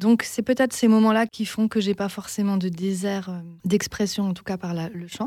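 A woman talks at a moderate pace in a dark, mellow tone with ordinary pitch variation. The recording is very clean with a silent background and a dry, close sound with no echo. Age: 30s. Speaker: singer-songwriter. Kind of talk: interview.

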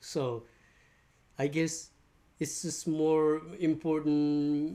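Dark and mellow in tone, a man's fairly high-pitched voice moves at a very slow pace. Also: very clean recording, silent background. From Nepal. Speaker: shop owner and sound healing teacher. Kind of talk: interview.

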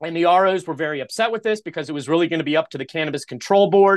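A man with fairly high pitch talks in a normal speaking voice, with ordinary pitch variation over a quiet background. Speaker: cannabis attorney and podcast host. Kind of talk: casual interview chat.

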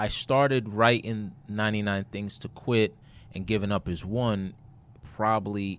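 With an American accent and a normal speaking voice, a man speaks at a fairly slow pace and a fairly low pitch with fairly even intonation. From Brooklyn, New York. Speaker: author and consultant. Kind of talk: interview.

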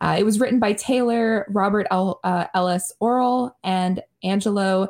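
On a very clean recording with a silent background, a woman with a plain, everyday voice speaks fairly slowly at a medium pitch, her loudness very even and her intonation fairly even. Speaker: podcast host. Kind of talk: casual chat.

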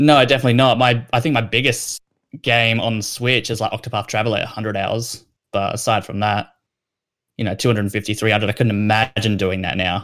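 A man with an Australian accent talks at a very fast pace and a medium pitch, with fairly even intonation. The recording is very clean, with a silent background. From South Australia. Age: 20s. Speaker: gaming news writer and editor. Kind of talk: casual chat.

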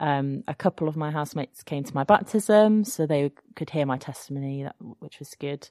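With an English accent, the speaker talks at a fairly quick pace in a dark, mellow tone with ordinary pitch variation, dry and close with no echo, over a quiet background. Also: woman, very deep, low pitch for a woman. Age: 30s. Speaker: secondary school music teacher. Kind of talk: testimony. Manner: hesitant, many fillers.

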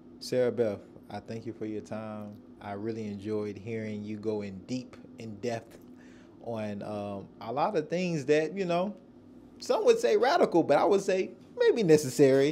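A man with an unremarkable speaking voice and a medium pitch talks at a moderate pace, using lively intonation and big swings in loudness. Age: 30s. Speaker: podcast host. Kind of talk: interview.

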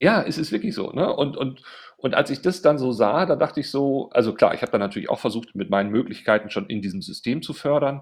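Against a quiet background, a man talks at a very fast pace. His fairly high voice makes very wide pitch swings. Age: 40s. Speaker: agency executive. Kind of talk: interview conversation.

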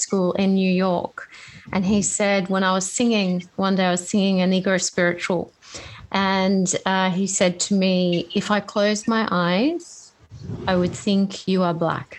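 Over a quiet background, a woman with an Australian accent speaks at a fairly slow pace in very even loudness. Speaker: podcast host. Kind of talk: interview.

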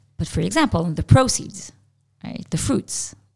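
This woman's voice sits fairly low and shows vocal fry as she speaks at a moderate pace. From Israel. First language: Hebrew. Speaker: tech entrepreneur and author. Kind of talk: interview conversation.

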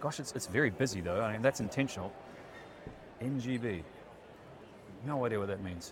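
A man with a New Zealand accent and a medium pitch, ordinary pitch variation, a fairly quick pace broken by long, frequent pauses, and audible room echo. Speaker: EV podcast co-host. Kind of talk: casual walkaround commentary. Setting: busy expo hall. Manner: animated.

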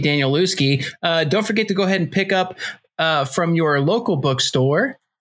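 A man's high-pitched voice carries ordinary pitch variation and keeps a moderate pace. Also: very even loudness. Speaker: book club podcast host. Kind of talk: casual chat. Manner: interrupts a lot.

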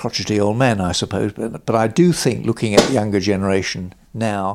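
A moderate pace in a southern English accent. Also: man. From South London, England. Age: 80s+. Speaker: veterinary business consultant. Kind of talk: interview. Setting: at home, garden.

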